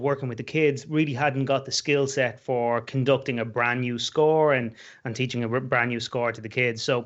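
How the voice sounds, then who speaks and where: In an Irish accent, a man talks at a moderate pace and medium pitch with fairly even intonation. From Ireland, Dublin. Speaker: musician and band director. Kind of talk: interview. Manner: halting.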